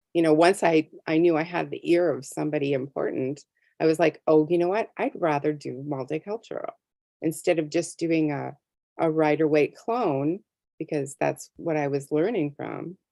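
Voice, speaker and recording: A woman with an American accent speaks at a moderate pace in a very deep, low pitch, with ordinary pitch variation and a dry, close sound that has no echo. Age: 60s. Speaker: tarot deck artist. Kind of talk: interview. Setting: video call.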